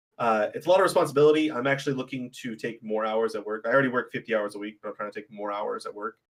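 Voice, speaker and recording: Talking at a very fast pace with hardly any pauses, a man keeps a medium pitch with ordinary pitch variation. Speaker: podcast guest and game caster. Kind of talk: casual chat. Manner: loud.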